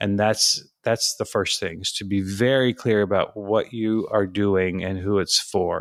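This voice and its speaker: At a fairly slow pace with hardly any pauses, a man uses an ordinary speaking voice, fairly low in pitch with fairly even intonation, on a very clean recording with a silent background. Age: 60s. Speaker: content writer, former journalist. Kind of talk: interview.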